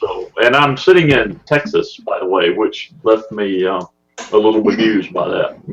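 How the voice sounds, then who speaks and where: Music plays in the background behind a man speaking at a moderate pace. He has a Southern US accent. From US South (Mississippi and Alabama). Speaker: podcast listener, amateur photographer. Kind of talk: casual chat.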